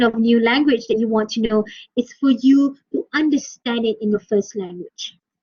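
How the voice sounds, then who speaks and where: A woman with a Malaysian accent, high in pitch for a woman, with ordinary pitch variation. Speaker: university English lecturer. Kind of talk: lecture. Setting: online class.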